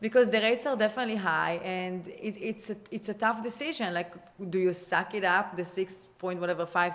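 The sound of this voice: In an Israeli accent, a woman talks at a fairly quick pace and medium pitch with ordinary pitch variation. Background noise is noticeable.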